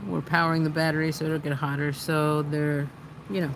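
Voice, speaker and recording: A soft-spoken woman at a moderate pace, with noticeable background noise. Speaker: livestream host, activist. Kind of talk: casual livestream chat. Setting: outdoors by a fire pit.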